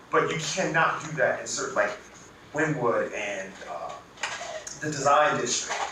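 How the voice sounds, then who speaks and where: In a room with audible echo and noticeable background noise, a man talks at a fairly slow pace with long, frequent pauses. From Cuban-American, Miami. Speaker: panelist speaking on food history. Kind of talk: panel discussion. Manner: animated.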